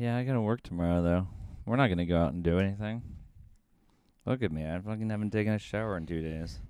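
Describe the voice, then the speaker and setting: A man's dark, mellow voice at a very fast pace, with ordinary pitch variation and long, frequent pauses. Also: fairly low pitch for a man. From rural US. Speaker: podcast co-host, restaurant worker. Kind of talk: casual chat.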